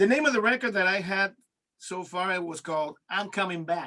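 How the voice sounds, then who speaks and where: A man speaks at a moderate pace in a raised, projected voice that sits high for a man. His tone is bright and sharp, with ordinary pitch variation. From Mexico. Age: 60s. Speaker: singer and organist. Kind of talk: interview.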